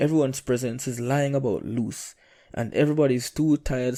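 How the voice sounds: The speech is a natural reading voice with fairly even intonation.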